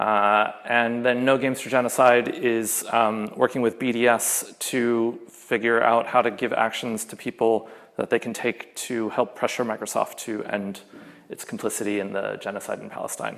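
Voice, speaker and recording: Recorded very cleanly with a silent background, a man with an American accent talks at a moderate pace and medium pitch, his intonation monotone and flat, his loudness swinging widely. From US. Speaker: game programmer and union organiser. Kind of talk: conference talk. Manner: casual, many filler words.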